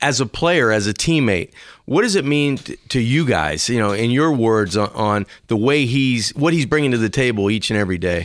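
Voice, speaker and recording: In a very clean recording with a silent background, a man uses a normal speaking voice at medium pitch, with lively intonation and a moderate pace. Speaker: radio co-host. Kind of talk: casual sports talk.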